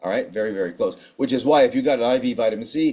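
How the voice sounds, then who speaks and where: In a very clean recording with a silent background, a man talks at a very fast pace with lively intonation. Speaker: physician giving conference talk. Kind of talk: lecture. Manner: animated.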